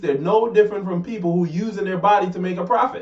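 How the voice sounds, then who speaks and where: A man with a Jamaican accent, animated in tone, at a fairly quick pace. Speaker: talk show co-host. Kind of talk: casual debate.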